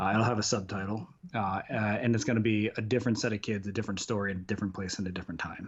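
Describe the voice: A man's fairly low voice with a slightly husky edge, very fast pace and fairly even intonation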